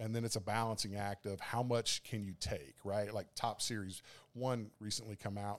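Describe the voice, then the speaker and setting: A man with an American accent speaks at a moderate pace in a fairly low pitch, with fairly even intonation. The recording is very clean, and the background is silent. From US South, South Carolina. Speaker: card shop owner. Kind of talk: casual chat. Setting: card shop.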